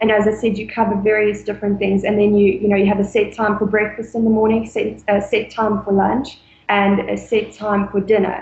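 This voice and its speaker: At a fairly quick pace and with hardly any pauses, a woman speaks at medium pitch in a monotone, flat intonation. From South Africa, Mpumalanga. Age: 20s. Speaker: former au pair. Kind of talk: interview.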